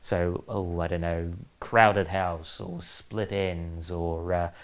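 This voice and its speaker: A man with a New Zealand accent and a very deep, low pitch. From New Zealand, Auckland. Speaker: author and former comics editor. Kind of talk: interview. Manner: hesitant with fillers.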